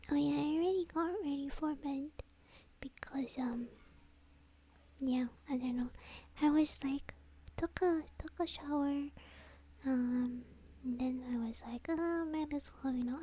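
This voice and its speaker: The soft-spoken delivery comes at a fairly slow pace with long, frequent pauses in a dry sound with no echo. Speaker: virtual streamer. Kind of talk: casual stream chat. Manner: soft-spoken, sleepy ASMR murmur.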